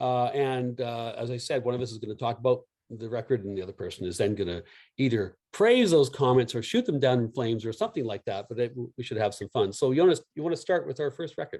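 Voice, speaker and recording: In a Canadian accent, a dark, mellow voice speaks very fast with ordinary pitch variation against a quiet background. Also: man, medium pitch for a man. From Canada. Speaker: music review video host. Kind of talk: casual chat.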